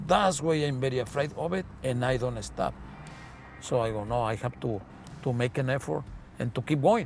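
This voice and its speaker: Medium-pitched male voice at a fairly quick pace, with music in the background. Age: 60s. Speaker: taxi driver. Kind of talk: interview testimony. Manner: halting.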